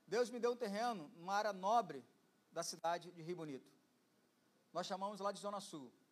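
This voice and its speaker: This man's voice is high in pitch with ordinary variation. He talks at a moderate pace. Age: 50s. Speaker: pastor. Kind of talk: sermon. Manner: energetic.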